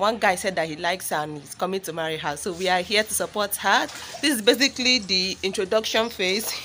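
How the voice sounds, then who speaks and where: A woman at a very fast pace, ordinary pitch variation, light background noise. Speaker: vlogger. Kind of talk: casual vlog chat. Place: garden. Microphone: phone near.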